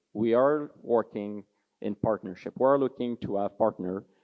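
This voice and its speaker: A man with a French-Canadian accent talks at a moderate pace. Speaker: mining executive. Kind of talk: conference presentation. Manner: halting, with frequent fillers.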